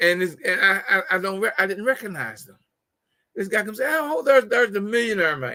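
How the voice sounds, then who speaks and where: A man's raised, projected voice, high-pitched with a bright, sharp tone, at a fairly quick pace with big swings in loudness. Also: lively intonation. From West Virginia. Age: 70s. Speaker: talk show host and motivational speaker. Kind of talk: talk show monologue. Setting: conference call / online show. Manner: halting, many repetitions.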